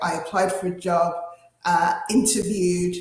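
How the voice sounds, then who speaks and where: Over music in the background, a woman with a British accent speaks at a moderate pace with fairly even intonation and audible room echo. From England. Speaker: panelist. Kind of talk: panel discussion.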